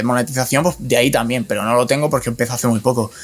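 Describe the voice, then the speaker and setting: A man's voice with noticeable background noise. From Spain, Alcoy (Alicante). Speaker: digital marketing specialist. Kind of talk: casual chat.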